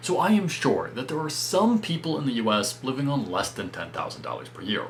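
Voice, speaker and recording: A man with an American accent talks at a moderate pace in a fairly high pitch, with very wide pitch swings. There is noticeable background noise. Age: 20s. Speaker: personal finance youtuber. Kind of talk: explainer video monologue.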